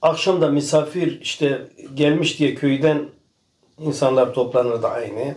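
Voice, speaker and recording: Talking at a fairly slow pace, a man uses a fairly high pitch. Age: 60s. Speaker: farmer. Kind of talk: casual chat.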